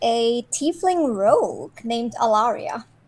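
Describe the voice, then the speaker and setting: Pitched high, a woman's voice moves at a very slow pace. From Iceland. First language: Icelandic. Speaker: player. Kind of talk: casual tabletop game chat.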